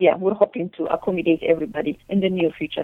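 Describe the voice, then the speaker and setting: A woman with an Eritrean accent. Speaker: chef. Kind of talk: interview. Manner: halting.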